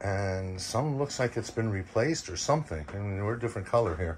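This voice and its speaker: Lively intonation marks this man's speech. He goes at a fairly quick pace over light background noise. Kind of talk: walk-through tour commentary. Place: boat. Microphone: phone near.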